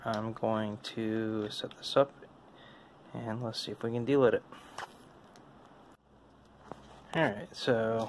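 A man talks at a fairly slow pace with fairly even intonation. Light background noise can be heard. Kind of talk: casual tutorial narration. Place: home room. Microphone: phone near.

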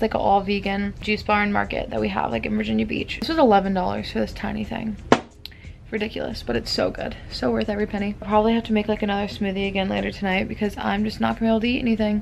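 A woman rattles along at a very fast pace with light background noise present. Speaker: vlogger. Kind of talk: casual vlog chat. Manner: slurred, slack post-surgery mouth, drowsy. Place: home room. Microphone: phone near.

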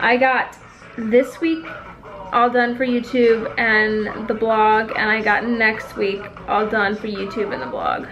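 With audible room echo, a woman speaks slowly at a fairly high pitch and with ordinary pitch variation.

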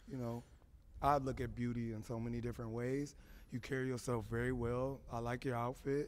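This man has an American accent and a medium pitch. He talks at a fairly quick pace with monotone, flat intonation. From US, Los Angeles. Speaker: dating show contestant. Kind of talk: dating show conversation.

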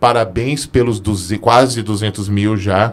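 A fairly low-pitched male voice with ordinary pitch variation. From interior of São Paulo state, Brazil. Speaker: podcast host. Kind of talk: scripted show outro; casual interview chat. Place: studio. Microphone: studio mic.

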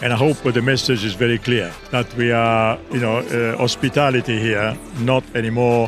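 A man with ordinary pitch variation over clear music in the background. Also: dry sound with no echo. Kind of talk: interview answer. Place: street. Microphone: handheld.

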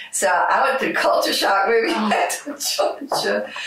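There is audible room echo around this voice. A woman speaks at a moderate pace in an American accent. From United States. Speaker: musician. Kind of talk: interview answer. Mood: reflective, warm, personal. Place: studio.

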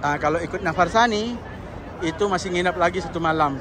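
Over crowd noise in the background, a high-pitched man talks very fast with ordinary pitch variation, the sound dry with no echo. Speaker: vlogger. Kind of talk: travel vlog. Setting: outdoors. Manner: animated. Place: street. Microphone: phone near.

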